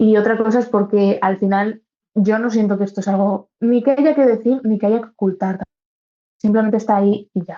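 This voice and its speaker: This woman has a plain, everyday voice with fairly high pitch. She talks at a moderate pace with fairly even intonation. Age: 20s. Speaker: university student with congenital heart disease. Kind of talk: interview answer.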